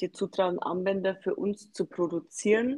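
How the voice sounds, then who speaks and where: Delivered at a fairly slow pace with fairly even intonation, the speech has a dry, close sound with no echo. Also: woman. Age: 40s. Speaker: small business founder. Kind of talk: podcast interview.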